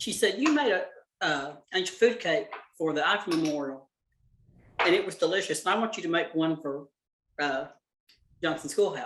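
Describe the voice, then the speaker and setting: A high-pitched male voice with a Southern US accent, lively intonation, and long, frequent pauses. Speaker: cooking class teacher. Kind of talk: casual chat. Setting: video call. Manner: fast.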